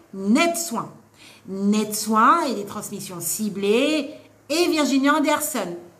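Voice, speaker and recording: With lively intonation and an animated tone, a woman speaks at a fairly high pitch amid audible room echo and noticeable background noise. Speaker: nursing assistant trainer and author. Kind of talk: live stream Q&A advice. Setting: live stream. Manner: loud.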